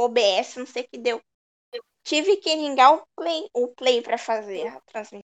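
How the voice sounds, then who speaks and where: With lively intonation and a high pitch, a woman is heard in a dry, close sound with no echo. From Cubatão, São Paulo state, Brazil. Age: 30s. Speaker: streamer and fighting game player. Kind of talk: casual chat.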